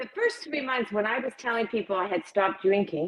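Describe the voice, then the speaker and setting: This is an ordinary speaking voice from a woman. Her pitch is fairly high, with ordinary variation. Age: 60s. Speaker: recovery advocate and clothing brand founder. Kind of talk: interview. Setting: live stream.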